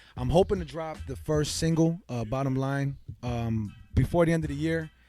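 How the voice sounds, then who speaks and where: A man speaks with a fairly high pitch and an American accent. His intonation is lively, with music playing in the background. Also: moderate pace. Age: 20s. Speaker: rapper. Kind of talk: casual chat.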